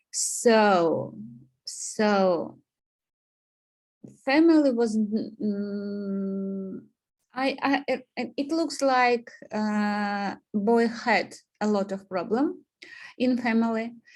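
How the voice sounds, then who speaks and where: In a Russian accent, a woman speaks at a very slow pace with a fairly high pitch. Long, frequent pauses break up her speech. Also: ordinary pitch variation. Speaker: student. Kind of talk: presentation. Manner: halting, many fillers.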